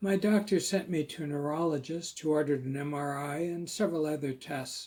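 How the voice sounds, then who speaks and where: This man's voice is fairly high-pitched yet dark and mellow in tone, somewhat breathy, with ordinary pitch variation at a fairly slow pace. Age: 60s. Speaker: host, writer with multiple sclerosis. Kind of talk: testimony.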